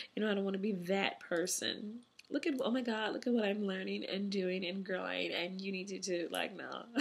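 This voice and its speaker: In an American accent, a woman speaks at a fairly quick pace with fairly even intonation, amid noticeable background noise and audible room echo. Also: medium pitch for a woman. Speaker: vlogger. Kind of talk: personal vlog. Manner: casual, conversational.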